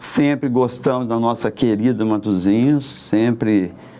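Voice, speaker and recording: A man at a fairly slow pace with ordinary pitch variation, over noticeable background noise. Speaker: merchant and local political candidate. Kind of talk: interview, life story.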